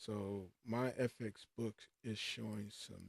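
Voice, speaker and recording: A man's voice at medium pitch, dry and close with no echo. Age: 60s. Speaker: forex trading teacher. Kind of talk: live trading class. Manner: casual, repetitive with fillers.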